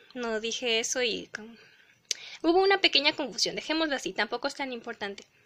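A woman speaks fairly quickly with a high pitch, lively intonation, and a bright, sharp tone. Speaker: doll collector YouTuber. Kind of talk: casual haul video. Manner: fast.

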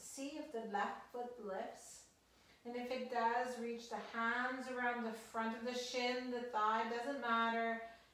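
In a room with audible echo, a woman talks very slowly at a high pitch. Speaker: exercise instructor. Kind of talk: guided exercise instruction. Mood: calm, gentle, encouraging. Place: home room. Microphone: camera far.

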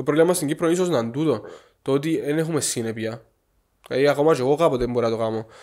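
A man with a Cypriot accent and ordinary pitch variation, against a quiet background. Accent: Cypriot Greek. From Cyprus. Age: 20s. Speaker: chef, former cooking show contestant; podcast guest. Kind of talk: casual interview. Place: home room. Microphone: studio mic.

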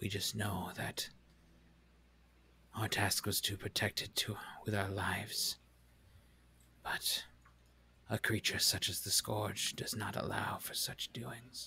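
A man's booming, raspy put-on character voice, fairly low-pitched and fairly slow, broken by long, frequent pauses. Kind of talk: fantasy game voice acting. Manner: solemn, formal.

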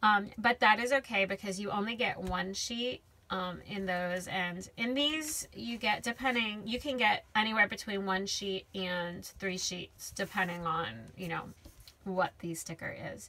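With ordinary pitch variation, a woman delivers her words fairly slowly. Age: 30s. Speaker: YouTube crafter reviewing stickers. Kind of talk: product unboxing and review. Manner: casual, frequent filler words.

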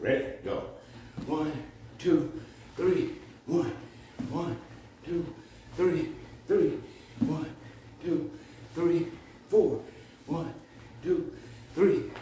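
A man at a very slow pace with long, frequent pauses, audible room echo and light background noise. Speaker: fitness instructor. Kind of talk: rhythmic rep counting. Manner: brisk, punchy, steady count. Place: gym. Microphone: phone near.

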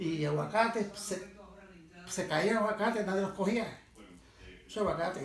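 Speaking with a Puerto Rican accent, a man talks at a moderate pace in a high voice with fairly even intonation. Audible room echo and light background noise are present. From Puerto Rico. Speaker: former farmer and fisherman. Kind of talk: interview answer, life story. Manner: casual, rambling. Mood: nostalgic, fond. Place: home room. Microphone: phone near.

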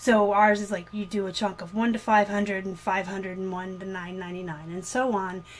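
This is a woman speaking at a moderate pace. She uses monotone, flat intonation. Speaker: online reseller. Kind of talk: casual vlog chat. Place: home room. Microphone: webcam.

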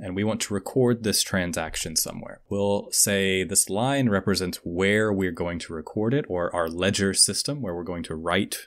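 Speaking at a moderate pace with hardly any pauses, a man has a plain, everyday voice, fairly low in pitch with ordinary pitch variation, over a quiet background. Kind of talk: tutorial. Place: home room. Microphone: studio mic.

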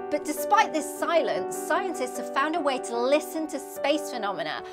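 A woman speaks at a moderate pace with a high pitch. Clear music sits in the background. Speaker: astrophysicist. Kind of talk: science explainer to camera. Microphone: lapel.

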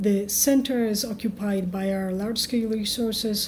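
A woman's dark, mellow tone at a medium pitch, with a fairly slow pace and fairly even intonation

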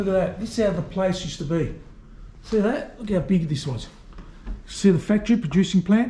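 Over audible room echo, a man with a high pitch talks at a fairly quick pace with ordinary pitch variation. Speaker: urban explorer vlogger. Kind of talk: casual vlog chat. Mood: curious, mildly excited. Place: office. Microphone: phone near.

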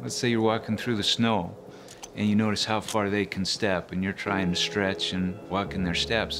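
With music in the background, a man talks at a moderate pace, his fairly low pitch showing ordinary variation. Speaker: hunter. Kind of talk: interview answer. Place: home room.

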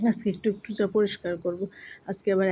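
The woman's voice has a dark, mellow tone. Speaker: vlogger. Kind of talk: casual vlog narration. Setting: at home.

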